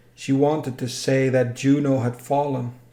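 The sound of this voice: A man with a medium pitch and a dark, mellow tone speaks at a fairly slow pace with little pitch movement. Room echo is audible.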